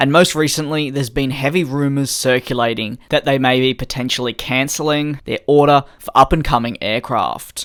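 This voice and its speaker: The pace is moderate. The accent is Australian. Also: hardly any pauses. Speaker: aviation news youtuber. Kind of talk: scripted news commentary.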